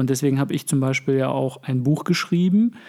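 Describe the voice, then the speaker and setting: A plain, everyday voice from a man with fairly high pitch and ordinary pitch variation, at a fairly quick pace in a very clean recording with a silent background. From Germany (moved from Russia aged five). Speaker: podcast co-host. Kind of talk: casual chat.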